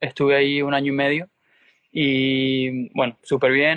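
The speaker is a man. His pitch is fairly high. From Venezuela. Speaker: tennis coach. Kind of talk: interview.

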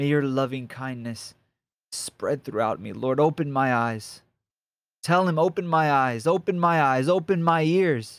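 On a very clean recording with a silent background, a man speaks at a fairly slow pace in a fairly high pitch, his pitch varying in an ordinary way. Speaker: podcaster who prays with listeners. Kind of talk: fervent spoken prayer, led aloud for listeners. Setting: solo podcast recording. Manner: impassioned, pleading, rhythmic, repetitive; casual, halting, with filler words when talking.

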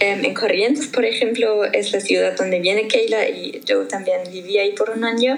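A woman speaks with very even loudness and hardly any pauses. Noticeable background noise and audible room echo surround her voice. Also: moderate pace. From Germany. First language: German (speaking Spanish). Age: 20s. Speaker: language learner guest. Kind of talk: casual interview. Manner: hesitant with fillers.

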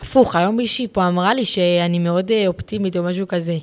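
Her pitch sits in the medium range for a woman. She talks at a fairly quick pace. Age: 20s. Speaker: psychiatric inpatient sharing her story. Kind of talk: interview testimony. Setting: psychiatric ward. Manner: halting.

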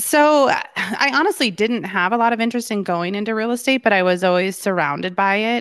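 A woman with an American accent speaks at a moderate pace in a plain, everyday voice with ordinary pitch variation. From Colorado, Denver suburbs. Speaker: real estate broker. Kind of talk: interview.

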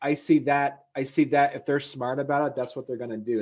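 This man has an ordinary speaking voice at a medium pitch. His intonation is fairly even, and the background is quiet. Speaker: podcast co-host. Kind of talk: casual chat.

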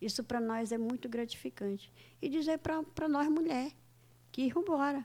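A woman's high-pitched voice with ordinary pitch variation, in a very clean recording against a silent background. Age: 60s. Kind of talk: radio interview.

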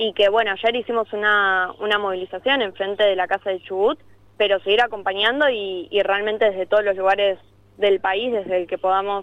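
A woman at medium pitch has a normal speaking voice. She keeps a moderate pace and fairly even intonation. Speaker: climate activist. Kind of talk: phone interview.

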